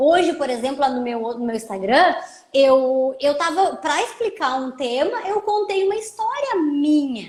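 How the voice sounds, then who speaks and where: In a gaúcho accent, a woman talks fairly slowly in a high voice with lively intonation. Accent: gaúcho border. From southern Brazil, Rio Grande do Sul border region (Santana do Livramento). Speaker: lawyer and social media educator. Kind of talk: casual live chat. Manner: informal, conversational.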